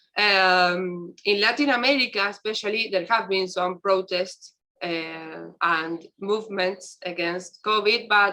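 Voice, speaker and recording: In an Argentine accent, a woman speaks very slowly with a bright, sharp tone and ordinary pitch variation. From Argentina. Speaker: university researcher. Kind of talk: round table discussion. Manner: halting.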